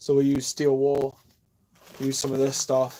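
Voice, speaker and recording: A man mumbles in an American accent at a fairly slow pace, his medium-pitched voice dark and mellow in tone. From New York. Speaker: woodworker and live streamer. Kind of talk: casual live stream chat while working. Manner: mumbling, rambling. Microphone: Bluetooth headphones mic, poor quality.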